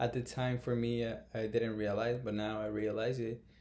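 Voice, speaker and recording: Monotone, flat male speech at medium pitch, dark and mellow in tone, with a Brazilian Portuguese accent. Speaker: YouTuber. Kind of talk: casual vlog talk to camera. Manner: halting, many fillers.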